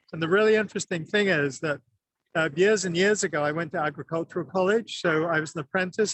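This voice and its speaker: This man talks at a fairly quick pace. His pitch varies an ordinary amount. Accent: English. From England. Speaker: plant industry representative. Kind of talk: trade show interview. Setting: trade show floor.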